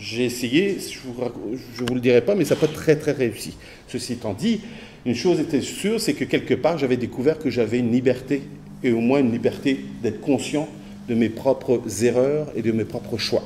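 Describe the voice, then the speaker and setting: His tone is dark and mellow, at medium pitch with ordinary variation. The man keeps a moderate pace and takes long, frequent pauses. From France. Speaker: academic speaker. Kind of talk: conference talk. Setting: conference with audience. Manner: halting with false starts.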